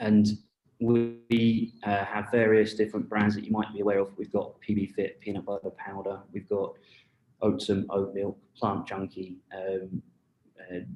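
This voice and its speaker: The speaker talks with a British accent in monotone, flat intonation. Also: man, fairly low pitch for a man, fairly slow pace. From UK. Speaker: marketing executive. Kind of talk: panel discussion. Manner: halting, many fillers.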